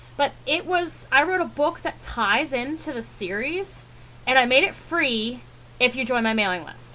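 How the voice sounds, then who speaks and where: A woman speaks in a high, raised, projected voice. Her tone is bright and sharp, and her intonation is lively. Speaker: fiction author teaching writing business. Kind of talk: tutorial. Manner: fast; casual, hesitant with fillers.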